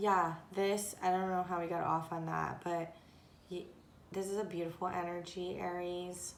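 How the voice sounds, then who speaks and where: With audible room echo, a woman speaks at a fairly low pitch and moderate pace in monotone, flat intonation. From Japan and Korea in early childhood. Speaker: tarot and oracle card reader. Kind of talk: oracle card reading monologue. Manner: halting, with many fillers.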